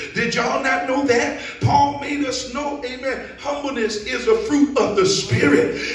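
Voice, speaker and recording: With audible room echo, a man speaks at an extremely high pitch and a fairly slow pace. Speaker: preacher. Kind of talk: sermon. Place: church.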